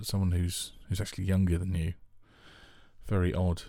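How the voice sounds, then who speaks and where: In a London accent, a man speaks with a very deep, low pitch and a dark, mellow tone. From Northwest London, England. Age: 40s. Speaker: podcast host. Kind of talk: casual chat. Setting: home studio. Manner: halting.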